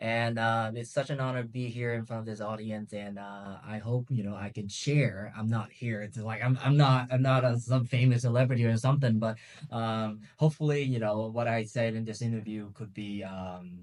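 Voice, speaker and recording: In a Vietnamese accent, a man speaks at a moderate pace and medium pitch with fairly even intonation and hardly any pauses. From Vietnam, Ho Chi Minh City. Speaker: travel youtuber and martial artist. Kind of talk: interview. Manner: hesitant, many fillers.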